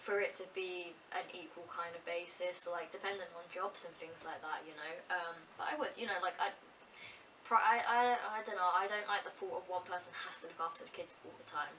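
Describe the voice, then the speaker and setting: Loudness swings widely as a woman at a medium pitch talks at a fairly quick pace over noticeable background noise. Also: ordinary pitch variation. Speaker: vlogger. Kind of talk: casual chat.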